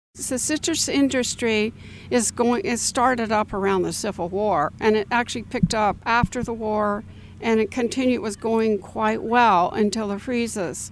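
This woman has a plain, everyday voice with an American accent, pitched fairly high. She talks at a moderate pace with ordinary pitch variation. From Florida, Orlando area. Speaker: local heritage association director. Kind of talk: interview.

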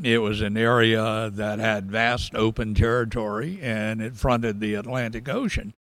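Speaking in a Southern US accent, a man uses a medium pitch and a moderate pace with hardly any pauses. His intonation is fairly even. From US South, rural South Georgia. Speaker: historian. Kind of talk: interview.

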